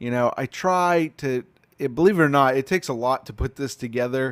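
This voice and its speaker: A man with an American accent speaks in a normal speaking voice at a fairly quick pace, with a medium pitch and ordinary pitch variation, in a very clean recording with a silent background and a dry, close sound with no echo. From Pittsburgh then Texas (Dallas area). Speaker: coffee catering business owner, live streamer. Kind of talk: casual live stream chat. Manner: conversational, many fillers.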